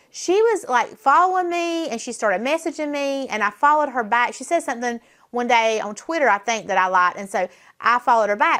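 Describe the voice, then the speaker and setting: With a Southern US accent, a woman speaks at a very fast pace in a bright, sharp, animated tone full of very wide pitch swings. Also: very clean recording, silent background. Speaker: political talk show host. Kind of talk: casual chat.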